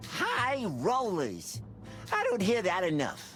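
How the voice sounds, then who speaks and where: Over clear background noise, a put-on character voice at a middle pitch moves at a fairly slow pace. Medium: game stream. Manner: casual, quippy.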